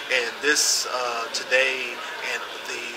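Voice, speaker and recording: A man is heard over loud background noise. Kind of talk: interview answer. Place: hall.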